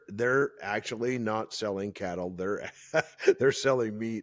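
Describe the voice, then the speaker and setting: On a very clean recording with a silent background, a man with a plain, everyday voice speaks at a fairly low pitch with ordinary pitch variation and a moderate pace. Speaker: podcast host. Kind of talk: podcast interview, conversational.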